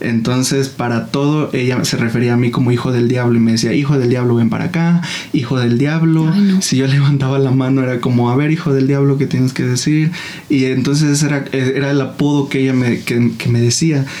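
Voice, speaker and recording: Audible room echo and noticeable background noise surround the voice, which holds a very even loudness. The pace is fairly quick, and the intonation is fairly even. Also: man, medium pitch for a man. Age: 20s. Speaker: church worship leader and content creator. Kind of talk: casual interview about faith and life.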